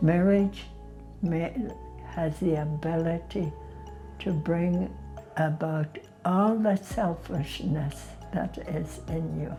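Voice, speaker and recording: Music plays behind her as she talks. This woman's pace is very slow, broken by long, frequent pauses. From Canada, northern Alberta. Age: 90. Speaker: interviewee telling her life story. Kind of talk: testimony interview.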